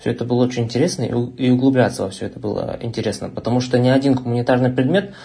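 A man talks at a very fast pace and medium pitch. His tone is dark and mellow, and somewhat breathy. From Russia, Omsk. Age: young. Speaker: university student and online tutor. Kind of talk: casual chat.

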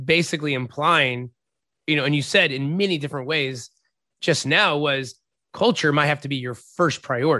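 A man's bright, sharp voice, fairly high in pitch, with ordinary pitch variation against a quiet background. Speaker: podcast host and head coach. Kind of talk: podcast interview.

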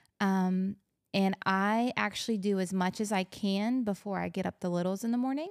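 A woman talks in a normal speaking voice at medium pitch with fairly even intonation and very even loudness. The sound is dry and close with no echo, on a very clean recording with a silent background. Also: moderate pace. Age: 40s. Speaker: pastor's wife and mother. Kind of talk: casual chat.

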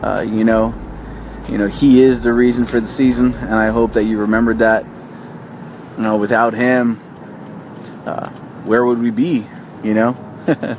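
A man speaks at a moderate pace in a monotone, flat intonation, with long, frequent pauses. Noticeable background noise runs underneath. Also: medium pitch for a man. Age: 30s. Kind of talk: inspirational talk to camera. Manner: hesitant, many fillers.

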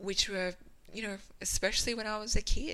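This is a woman's voice. Her tone is bright and sharp. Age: 30s. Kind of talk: reading aloud. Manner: expressive.

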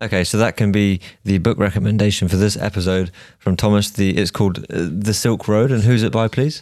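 This is a man with a plain, everyday voice, fairly low in pitch and fairly even in intonation. His loudness stays very even on a very clean recording with a silent background. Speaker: podcast host, medical student. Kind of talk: casual interview chat.

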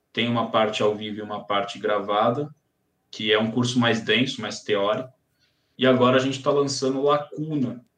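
Speaking at a fairly quick pace, a man has an ordinary speaking voice, a medium pitch and fairly even intonation. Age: 30s. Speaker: psychiatrist and sleep medicine doctor. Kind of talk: casual chat.

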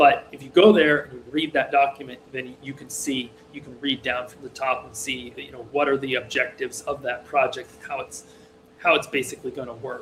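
A man talks at a fairly quick pace in a fairly high voice. His intonation stays fairly even while his loudness swings widely. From rural Massachusetts, US. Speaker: programmer. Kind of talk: casual interview conversation. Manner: hesitant, many fillers.

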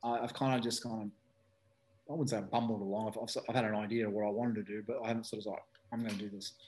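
A man speaks very fast at a medium pitch, with an Australian accent. His intonation stays monotone and flat. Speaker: speedway team manager, former rider. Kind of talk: casual interview. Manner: halting, many fillers.

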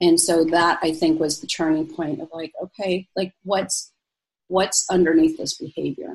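A woman with an American accent speaks in a somewhat breathy, fairly low voice at a moderate pace, her intonation monotone and flat. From Egypt, moved to US at five. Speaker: physician and life coach. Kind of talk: interview.

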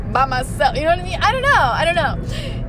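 A woman talking at a very fast pace, with noticeable background noise. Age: 20s. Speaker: solo podcaster. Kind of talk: casual rant. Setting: in a car.

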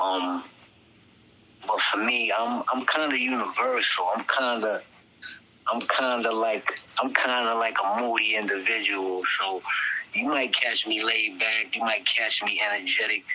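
A New York accent at a fairly slow pace, with very even loudness, fairly even intonation and noticeable background noise. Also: man, medium pitch for a man. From Staten Island, New York. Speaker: rapper. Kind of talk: interview. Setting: phone call. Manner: halting.

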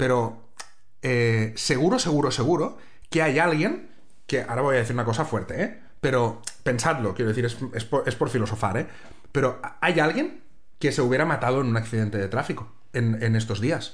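A man with a medium pitch speaks in an animated tone, somewhat breathy and at very even loudness. Long, frequent pauses break up his speech, and room echo is audible. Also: ordinary pitch variation, moderate pace. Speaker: podcast co-host and TV reporter. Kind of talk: casual chat. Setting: recording at home, sharing one mic.

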